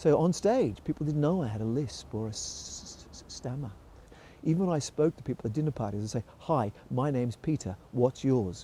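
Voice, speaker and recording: The voice has a dark, mellow tone, is somewhat breathy and carries lively intonation. It moves at a moderate pace with big swings in loudness. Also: man, medium pitch for a man. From Australia (Melbourne). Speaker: musical theatre performer. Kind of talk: interview storytelling.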